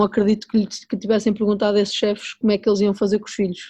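A woman's dark, mellow voice at medium pitch, moving at a fairly quick pace. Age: 40s. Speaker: chef and restaurant owner. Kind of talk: interview conversation.

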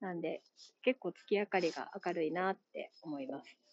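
At a moderate pace, the voice carries lively intonation in a Kansai accent. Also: woman. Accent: Kansai Japanese. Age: 30s. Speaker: podcast host. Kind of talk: solo monologue. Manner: casual, halting with fillers.

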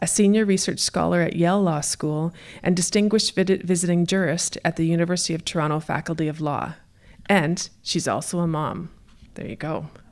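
A woman's normal speaking voice, fairly low in pitch, at a fairly quick pace with fairly even intonation, on a very clean recording with a silent background. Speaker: event director. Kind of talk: event introduction. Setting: stage with audience.

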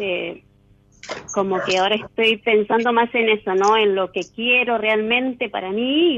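A woman's fairly high-pitched, ordinary speaking voice, with fairly even intonation at a fairly slow pace. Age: 40s. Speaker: caller. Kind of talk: casual chat.

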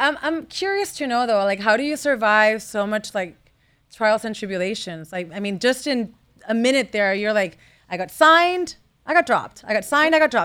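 A woman's fairly high, bright and sharp voice in an animated tone, fairly quick, with very wide pitch swings. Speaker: podcast host. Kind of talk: casual interview. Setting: stage with audience.

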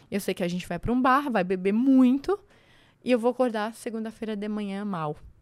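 A woman speaks at a fairly quick pace with a fairly high pitch and ordinary pitch variation. The recording is very clean, with a silent background. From Santa Catarina, Brazil (Serra, near Lages). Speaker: construction entrepreneur and mentor. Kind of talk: podcast interview.

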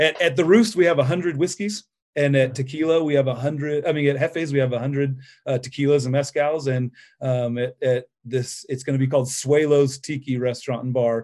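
A man with a plain, everyday voice and an American accent, fairly high in pitch with ordinary pitch variation, at a fairly quick pace over a quiet background. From central California, US. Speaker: restaurant owner. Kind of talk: interview.

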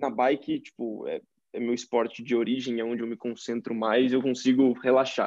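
A man speaks in a normal speaking voice. His pace is moderate and his pitch medium. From interior of São Paulo state, Brazil (Tietê). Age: 20s. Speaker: engineering student and growth marketer. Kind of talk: casual interview chat.

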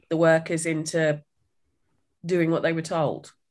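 A woman speaks in a British accent at a fairly low pitch. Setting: remote video call.

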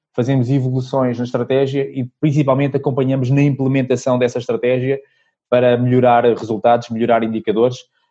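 The man talks at a fairly quick pace and medium pitch in a flat monotone. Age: 40s. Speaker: sales consultant and trainer. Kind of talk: casual interview.

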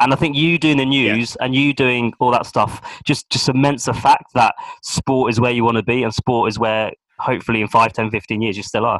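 The speaker uses a normal speaking voice at a fairly quick pace. The intonation is fairly even, and the sound is dry and close with no echo. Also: man, medium pitch for a man. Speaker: podcast host. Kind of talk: casual interview.

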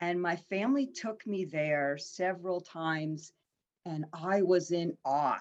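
Fairly slow and fairly low-pitched, a woman speaks with ordinary pitch variation in a plain, everyday voice. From Pennsylvania, Harrisburg. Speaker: life coach. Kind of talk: casual interview.

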